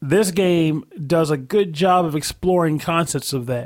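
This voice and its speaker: Fairly high-pitched man with an unremarkable speaking voice, a fairly slow pace and ordinary pitch variation, very clean recording and silent background. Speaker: podcast co-host. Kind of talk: casual chat.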